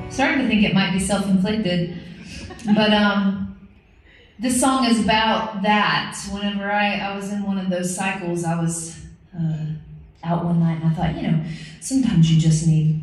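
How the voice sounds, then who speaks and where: A woman's speech full of long, frequent pauses, with audible room echo. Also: ordinary pitch variation, moderate pace. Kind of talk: between-song stage banter. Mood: wry, joking. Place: stage.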